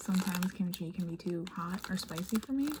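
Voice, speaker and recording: Her pitch sits in the medium range for a woman and varies in an ordinary way. There is noticeable noise in the background. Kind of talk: ASMR unboxing, soft-spoken talk to camera. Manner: soft-spoken, whispery.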